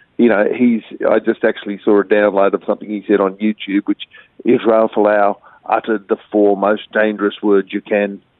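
A man speaks with an Australian accent at a moderate pace. His pitch is fairly low. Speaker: journalist and former rugby player. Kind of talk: interview commentary. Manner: animated, emphatic.

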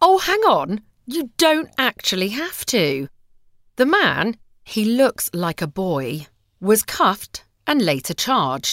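On a very clean recording with a silent background, a woman speaks very slowly at a fairly high pitch, her voice swinging very widely in pitch and dipping into vocal fry. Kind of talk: reading aloud.

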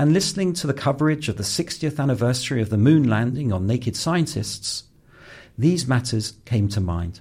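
A man with a southern English accent speaks at a moderate pace, somewhat breathy, at medium pitch with very wide pitch swings. The recording is very clean and the background silent. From North London, England. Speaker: podcast host. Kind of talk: scripted narration; panel discussion.

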